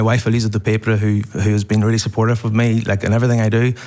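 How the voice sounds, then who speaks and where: A man speaks very fast with an Irish accent. His pitch is medium and his intonation stays flat and monotone. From Ireland. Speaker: podcast host, award winner. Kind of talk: award acceptance interview. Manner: halting, repeats words.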